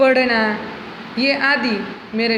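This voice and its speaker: A woman with a Gujarati accent speaks at a high pitch with fairly even intonation, amid audible room echo and noticeable background noise. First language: Gujarati (speaking Hindi). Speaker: schoolteacher. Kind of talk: lecture. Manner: slow, clear.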